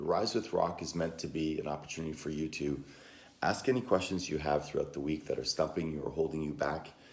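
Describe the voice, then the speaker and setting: This man's voice sits very deep and low. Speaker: motivational coach. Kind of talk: live stream Q&A. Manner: conversational, with fillers.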